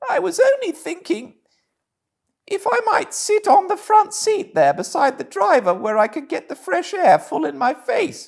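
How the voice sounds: A man puts on a character voice in a British accent with extremely high pitch and vocal fry. The pitch swings widely at a fairly slow pace.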